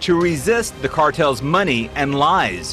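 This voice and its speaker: A man's fairly high-pitched voice over music in the background. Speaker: TV news reporter. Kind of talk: TV news report narration.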